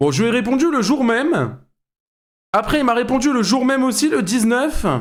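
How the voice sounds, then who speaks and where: A man talks in an extremely high pitch at a moderate pace, his tone animated, his loudness very even and his pitch variation ordinary. Room echo is audible. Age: 20s. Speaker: streamer reacting to videos. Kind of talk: live stream reaction commentary.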